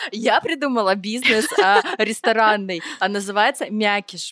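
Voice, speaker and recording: A woman with a plain, everyday voice and fairly high pitch speaks at a moderate pace with ordinary pitch variation, in a dry, close sound with no echo. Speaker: podcast co-host, creative director. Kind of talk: casual chat.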